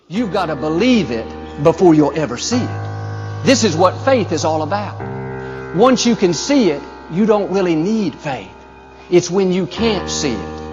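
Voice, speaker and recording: With music in the background, a man with an American accent talks at a fairly slow pace. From United States. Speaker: pastor. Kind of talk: sermon. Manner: upbeat, encouraging.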